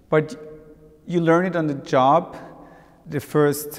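Here a man is talking. He moves at a fairly slow pace. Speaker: auctioneer. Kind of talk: interview answer. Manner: thoughtful, conversational, hesitant at times. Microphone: lapel.

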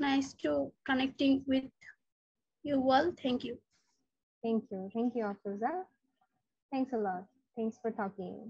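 A woman speaks in a high voice with ordinary pitch variation, the sound dry with no echo against a quiet background. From Bangladesh. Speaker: English teacher. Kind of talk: online class. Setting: video call. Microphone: too quiet on phone; video call.

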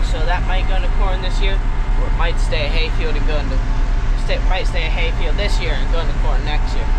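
Against loud background noise, a man talks at a very fast pace. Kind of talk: casual vlog chat. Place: farm machine. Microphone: camera far.

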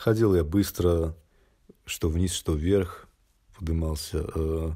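A man's very deep, low voice with a dark, mellow tone, somewhat breathy and fairly even in intonation, in a very clean recording with a silent background. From Belarus. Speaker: traveller vlogger. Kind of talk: monologue storytelling. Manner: casual, with filler hesitations.

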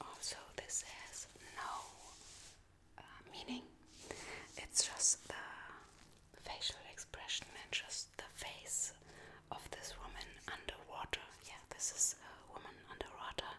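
Whispering at a very slow pace, the speaker leaves long, frequent pauses, with big swings in loudness. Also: woman. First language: not English. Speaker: ASMR creator. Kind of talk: ASMR soft-spoken story about her tattoos. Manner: soft-spoken, whispered, hesitant. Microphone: studio mic.

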